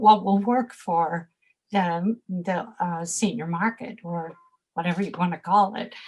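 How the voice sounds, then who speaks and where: At a very slow pace, a woman talks in a somewhat breathy voice with ordinary pitch variation. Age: 70s. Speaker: fashion expert and personal shopper. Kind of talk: interview. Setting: podcast. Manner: hesitant, with fillers.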